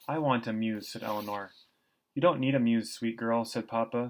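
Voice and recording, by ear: Someone reads aloud in a natural voice. Little sound comes from behind it.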